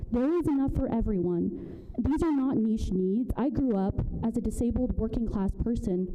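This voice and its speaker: A soft-spoken woman's voice, fairly high in pitch with lively intonation and hardly any pauses, amid audible room echo and noticeable background noise. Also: moderate pace, very even loudness. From Burma. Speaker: public commenter at city council. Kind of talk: public comment speech. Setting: city council meeting.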